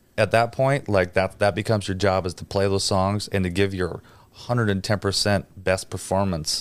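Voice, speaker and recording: A man with a normal speaking voice and fairly low pitch, with an American accent, moderate pace and fairly even intonation, on a very clean recording with a silent background. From Wisconsin, near Green Bay. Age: 30s. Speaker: drummer and producer. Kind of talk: casual interview chat. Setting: studio.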